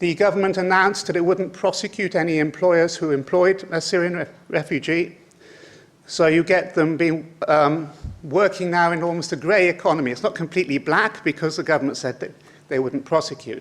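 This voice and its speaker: A man with a British accent, high-pitched, with fairly even intonation. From Britain. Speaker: conference speaker on migration. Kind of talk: lecture. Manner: halting, many fillers.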